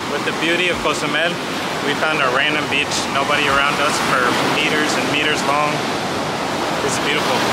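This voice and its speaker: Loud background noise fills this dry recording with no echo, where the talking moves at a fairly quick pace. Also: man. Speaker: travel vlogger. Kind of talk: casual vlog chat. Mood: happy, relaxed. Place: beach. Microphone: phone near.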